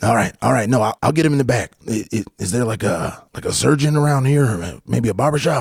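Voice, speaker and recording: In a raspy, put-on character voice, a man at medium pitch talks at a fairly quick pace with lively intonation and hardly any pauses. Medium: actual play. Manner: hurried, stammering.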